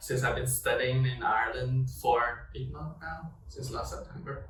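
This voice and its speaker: Audible room echo surrounds a man speaking with a Chinese accent. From China. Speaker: student podcast host. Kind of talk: casual chat. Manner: halting, with many fillers.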